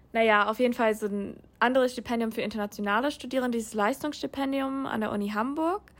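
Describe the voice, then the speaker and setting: This woman has a fairly high pitch and ordinary pitch variation. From USA. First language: English (speaking German). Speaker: international master's student. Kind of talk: interview. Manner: hesitant, many filler sounds.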